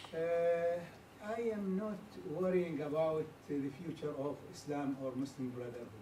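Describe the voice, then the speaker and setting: A man speaks with an Arabic accent at a high pitch, using ordinary pitch variation. Noticeable background noise and audible room echo fill the recording. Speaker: audience member asking question. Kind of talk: audience comment. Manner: halting, many fillers.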